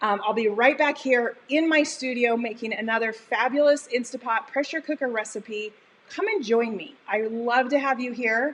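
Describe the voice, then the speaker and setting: Amid noticeable background noise, a woman with a high pitch speaks in an animated tone. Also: ordinary pitch variation, moderate pace. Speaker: cooking show host. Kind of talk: live cooking stream wrap-up. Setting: home studio kitchen.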